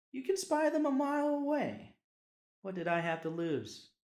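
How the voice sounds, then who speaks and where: With a Southern US accent, a man talks in very wide pitch swings. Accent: Southern US drawl. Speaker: podcast host. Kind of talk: personal story reading.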